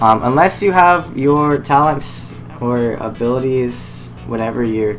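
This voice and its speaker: Audible room echo and noticeable background noise surround a man whose pitch varies in an ordinary way. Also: medium pitch for a man. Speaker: gaming YouTuber. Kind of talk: gameplay tutorial. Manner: casual, hesitant with fillers.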